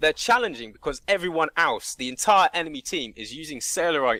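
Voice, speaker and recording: A man's raised, projected voice, animated and fairly quick, with a bright, sharp tone, very wide pitch swings, and dry, close sound with no echo. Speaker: gamer. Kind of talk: podcast discussion. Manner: loud.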